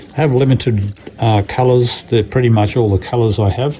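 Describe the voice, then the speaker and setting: Over noticeable background noise, a man with an Australian accent talks at a moderate pace in a medium pitch with ordinary pitch variation. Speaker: glass artist. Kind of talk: tutorial. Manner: hesitant, many fillers.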